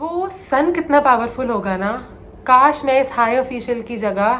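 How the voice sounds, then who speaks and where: Amid noticeable background noise, a woman speaks fairly slowly at a high pitch. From India. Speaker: storyteller. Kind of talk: motivational story narration, mixing English and Hindi.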